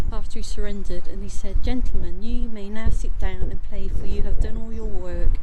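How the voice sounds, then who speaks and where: Noticeable background noise runs behind a woman speaking at a moderate pace. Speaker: amateur local history vlogger. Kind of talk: walking tour vlog. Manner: halting, many false starts; quiet inside the church.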